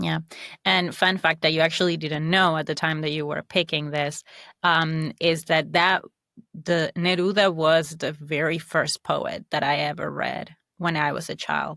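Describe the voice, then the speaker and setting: A very deep, low-pitched woman's voice with vocal fry, a bright, sharp tone, an Argentine accent, fairly even intonation, a fairly slow pace and a dry, close sound with no echo. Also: very clean recording, silent background. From Argentina. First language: Spanish. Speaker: social scientist. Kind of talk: casual chat.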